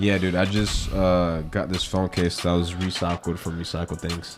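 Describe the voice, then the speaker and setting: Over music in the background, a man with an American accent speaks at a very deep, low pitch in a monotone, flat intonation. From American South.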